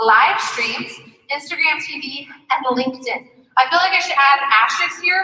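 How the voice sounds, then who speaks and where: A woman's high, raised and projected voice with lively intonation and audible room echo. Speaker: social media marketing speaker. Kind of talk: conference presentation. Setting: stage with audience. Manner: fast.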